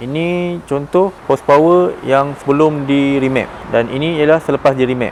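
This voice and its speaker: A man's voice, fairly high in pitch, moves at a very slow pace while noticeable background noise carries on. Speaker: car tuning workshop staff. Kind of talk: explainer.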